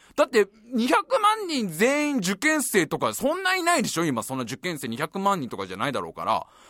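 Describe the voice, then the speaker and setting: A man's animated, fairly quick delivery, dry and close with no echo. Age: 30s. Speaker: podcast host. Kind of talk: casual chat.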